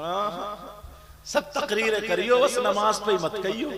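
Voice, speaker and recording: A man uses a raised, projected voice at a high pitch with ordinary pitch variation. Noticeable background noise runs underneath. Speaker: Islamic preacher. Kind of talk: religious sermon to a live audience. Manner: emotional, rousing.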